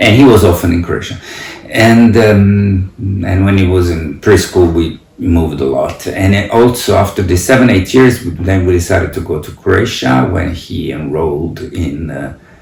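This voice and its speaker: A man's very deep, low voice with an Italian accent at a moderate pace, with ordinary pitch variation, audible room echo and noticeable background noise. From Italy. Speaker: parent and academic. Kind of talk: interview reflection. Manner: halting, many fillers.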